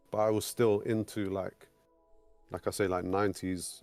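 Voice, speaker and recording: A man with an English accent speaks at a moderate pace, fairly low in pitch and with monotone, flat intonation. The very clean recording has a silent background and a dry, close sound with no echo. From England. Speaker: sound engineer. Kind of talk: interview. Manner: halting.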